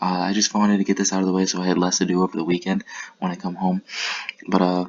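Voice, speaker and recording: Quiet and very fast, a man speaks in a monotone with flat intonation and a very deep, low pitch, amid noticeable background noise. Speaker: Pokemon battle league commentator. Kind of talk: recap commentary. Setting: apartment room. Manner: quiet, keeping voice down.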